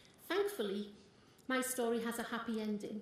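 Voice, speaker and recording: A woman speaks in a high pitch with a North East England accent. Audible room echo is present. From North East England, Consett. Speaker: small business owner and party supporter. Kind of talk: campaign speech. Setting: stage with audience. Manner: animated.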